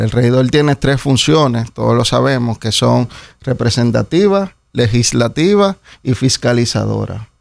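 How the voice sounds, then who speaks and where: In a Dominican accent, a man speaks at a fairly slow pace. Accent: Dominican, remarked as sounding Puerto Rican. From Dominican Republic. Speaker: municipal council candidate. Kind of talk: radio interview. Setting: radio studio.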